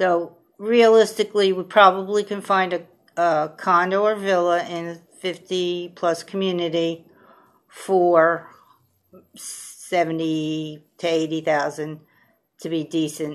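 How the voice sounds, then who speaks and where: Fairly even intonation holds through speech delivered at a very slow pace. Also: woman, fairly low pitch for a woman. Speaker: vlogger fundraising for a new home. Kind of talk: casual appeal to viewers. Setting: home video recorded on a tablet. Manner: halting, many fillers.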